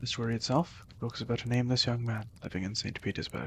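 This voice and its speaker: A man talks at a very fast pace with vocal fry. His intonation is fairly even. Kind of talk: ASMR book summary reading.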